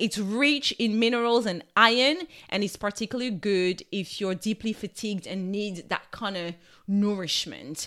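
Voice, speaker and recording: A woman with a French accent speaks at a moderate pace and medium pitch, with ordinary pitch variation. Her tone is warm yet bright and sharp, on a very clean recording with a silent background. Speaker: nutritional therapist and wellbeing coach. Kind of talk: solo wellness podcast talk. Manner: warm, casual, conversational.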